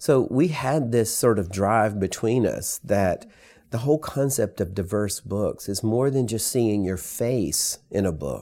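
A man with a Southern US accent, a fairly low pitch, a dark, mellow tone, and lively intonation, on a very clean recording with a silent background. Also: fairly slow pace. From US South, rural. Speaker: author and educator. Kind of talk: interview.

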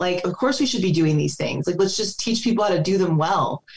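A woman speaks in a normal speaking voice. Her pitch is fairly low, with ordinary variation. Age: 40s. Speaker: physical therapist and combat veteran. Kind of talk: casual chat.

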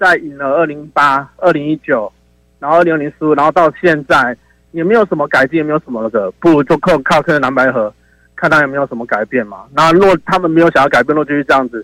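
In a Taiwanese accent, a man talks at a very fast pace with a fairly high pitch and ordinary pitch variation. The sound is dry and close, with no echo. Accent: Taiwanese Mandarin. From Taiwan, Taichung. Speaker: caller. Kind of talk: call-in opinion.

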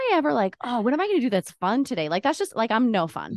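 A woman's fairly high voice makes very wide pitch swings in a dry, close sound with no echo. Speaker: podcast co-host. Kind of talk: casual interview chat.

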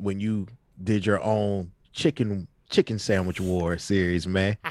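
In a very clean recording with a silent background and a dry, close sound with no echo, a man talks at a fairly slow pace and a fairly low pitch in an ordinary speaking voice. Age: 40s. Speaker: rapper and podcast co-host. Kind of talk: casual chat.

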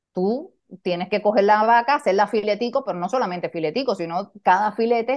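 With a Cuban accent, a woman talks at a medium pitch with ordinary pitch variation. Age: 50s. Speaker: leadership coach. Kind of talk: interview conversation.

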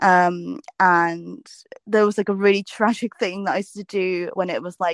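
Over a quiet background, a woman with a southern English accent speaks at a moderate pace in a fairly low voice, her pitch varying in an ordinary way, the sound dry and close with no echo. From southern England (South Coast). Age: 20s. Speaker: food and travel vlogger. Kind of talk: casual interview chat.

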